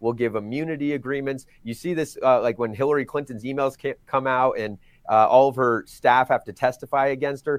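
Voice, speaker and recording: An unremarkable speaking voice from a man, medium in pitch, fairly quick and fairly even in intonation, with hardly any pauses. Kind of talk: political discussion.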